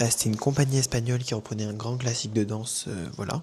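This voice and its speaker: This man talks at a medium pitch with ordinary pitch variation. Background noise is noticeable. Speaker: vlogger. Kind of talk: casual vlog talk. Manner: hesitant, many fillers.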